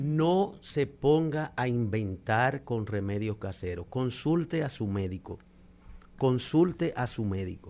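The voice has a dark, mellow tone and very wide pitch swings. It moves at a very slow pace. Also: man, medium pitch for a man, very clean recording, silent background. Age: old. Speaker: cultural manager. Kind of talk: radio segment on home remedies. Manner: calm.

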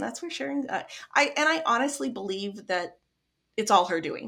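In a Midwestern accent, a woman with a bright, sharp tone speaks at a moderate pace with very wide pitch swings. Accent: general American, Midwestern. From US Midwest. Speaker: grief support founder, bereaved mother. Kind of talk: casual interview chat.

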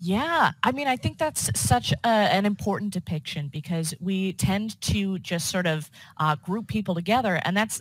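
A woman with an American accent speaks at a moderate pace and a fairly low pitch, somewhat breathy, with lively intonation, in a very clean recording with a silent background. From US suburbs. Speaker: podcast host. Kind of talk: casual interview chat.

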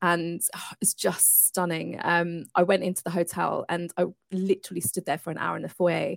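The voice carries vocal fry with a dry, close sound and no echo. The recording is very clean, with a silent background. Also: woman. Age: 40s. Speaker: entrepreneur and coach. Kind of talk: interview.

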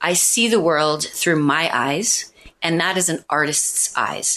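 In an American accent, the voice has a bright, sharp tone and moves at a fairly slow pace. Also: woman. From Missouri, US Midwest. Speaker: public speaking coach and event organizer. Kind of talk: interview.

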